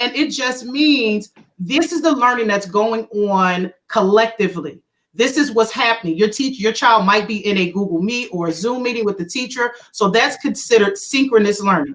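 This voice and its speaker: Her pitch fairly high and her intonation lively, a woman speaks at a moderate pace. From Philadelphia, US. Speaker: educator. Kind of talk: video call panel presentation.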